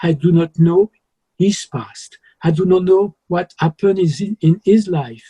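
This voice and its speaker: A man speaks with a French accent at a fairly slow pace. His tone is dark and mellow, and the sound is dry and close with no echo. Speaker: musician. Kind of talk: interview.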